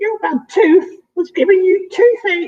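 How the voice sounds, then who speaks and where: A put-on character voice, squeaky and extremely high in pitch, moves at a fairly slow pace. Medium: read story.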